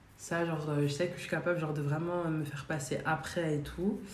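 This woman's voice is very deep and low, with a monotone, flat delivery. Room echo is audible around her. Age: 20s. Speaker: student and shop saleswoman. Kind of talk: casual chat. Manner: halting.

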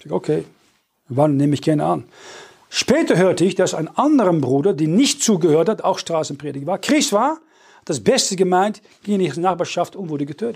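Fairly quick, high-pitched male voice with lively intonation, in a very clean recording with a silent background. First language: Dutch (speaking German). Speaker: preacher. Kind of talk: sermon. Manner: halting.

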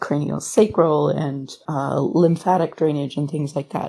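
A woman speaks in a calm, dark, mellow tone with a very deep, low pitch. Her pace is fairly slow and her intonation fairly even. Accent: Canadian. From Ontario, Canada (Sarnia area, Thunder Bay). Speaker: massage therapist and classical singer. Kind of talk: casual interview. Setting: video call.

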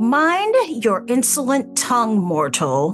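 Clear music sits behind a female-sounding, put-on character voice that is fairly high in pitch and fairly slow. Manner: bellowing, commanding.

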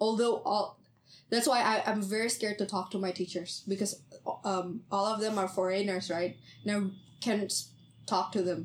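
At medium pitch, a woman with an Indonesian accent speaks at a moderate pace with fairly even intonation. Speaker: podcast host, university student. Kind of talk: casual chat.

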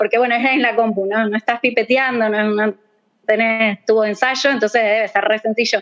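With an Argentine accent, a woman speaks at a fairly high pitch using fairly even intonation. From Argentina. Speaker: bioinformatics researcher. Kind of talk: casual chat.

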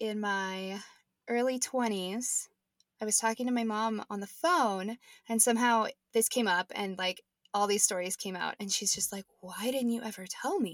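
Recorded very cleanly with a silent background and a dry, close sound with no echo, a woman with an American accent uses an ordinary speaking voice at a fairly high pitch, with ordinary pitch variation and a moderate pace. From Nebraska. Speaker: podcast co-host. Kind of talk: casual chat, podcast conversation. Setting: home closet recording.

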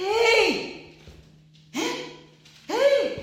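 A squeaky, extremely high-pitched put-on character voice with audible echo. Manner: loud, complaining, exclaiming.

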